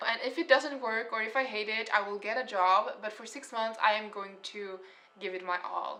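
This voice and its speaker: Moderate pace, ordinary pitch variation, big swings in loudness and a strong non-native accent. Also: woman, fairly high pitch for a woman. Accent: heavy foreign accent (own remark). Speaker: artist and painter. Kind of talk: casual story time vlog.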